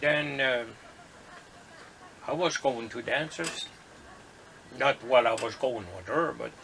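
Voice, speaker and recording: A medium-pitched man speaks with long, frequent pauses and big swings in loudness. Noticeable background noise runs throughout. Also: ordinary pitch variation, fairly slow pace. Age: 70s. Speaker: grandfather. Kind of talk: interview answer. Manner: casual, hesitant.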